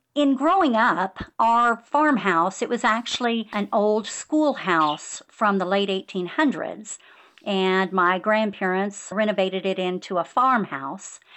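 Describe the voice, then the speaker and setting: A normal speaking voice with an American accent, fairly slow and with hardly any pauses, lively in intonation and very even in loudness. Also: woman, medium pitch for a woman. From California, San Joaquin Valley near Bakersfield. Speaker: author. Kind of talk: interview.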